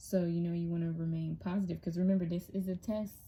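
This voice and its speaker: Speaking at a very fast pace, a woman uses a fairly low, dark and mellow voice that is somewhat breathy and monotone, with flat intonation. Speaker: tarot reader. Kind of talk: tarot reading. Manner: casual with many fillers.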